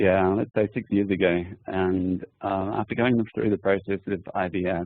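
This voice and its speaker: The voice has an Australian accent and monotone, flat intonation. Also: man, very deep, low pitch for a man, moderate pace. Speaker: adoptive parent. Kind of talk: personal testimony in a webinar.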